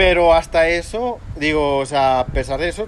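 Background noise is noticeable behind a man speaking. His pitch is fairly high, with ordinary variation. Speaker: podcast co-host. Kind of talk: casual chat.

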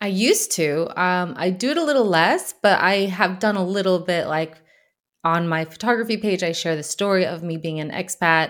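A woman speaks in a plain, everyday voice at medium pitch, with ordinary pitch variation and an American accent. Her pace is moderate, and the recording is very clean with a silent background. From USA. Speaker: photographer. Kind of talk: casual chat.

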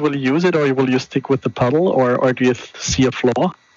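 At a moderate pace and fairly high pitch, a man speaks with fairly even intonation over noticeable background noise. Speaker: caller. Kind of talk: phone-in discussion.

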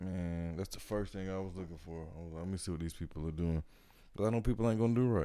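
A man speaks in a playful tone with a very deep, low pitch. His pitch varies in an ordinary way. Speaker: podcast host. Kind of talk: casual chat. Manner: joking, playful.

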